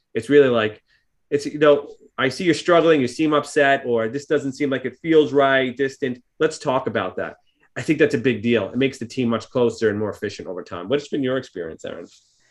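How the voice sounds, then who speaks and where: Here a man speaks with a New York accent at a fairly quick pace. His pitch varies in an ordinary way. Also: medium pitch for a man. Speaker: psychologist and practice owner. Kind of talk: podcast discussion.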